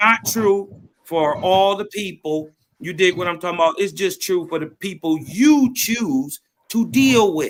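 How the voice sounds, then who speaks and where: A loud man, high in pitch, with lively intonation. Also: fairly slow pace. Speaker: panelist. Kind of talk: heated debate.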